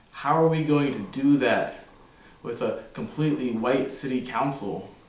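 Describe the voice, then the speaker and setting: A man with an American accent speaks at a fairly slow pace. His pitch sits fairly high, and his intonation is lively. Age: 20s. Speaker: activist and mayoral candidate. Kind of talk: campaign speech to camera.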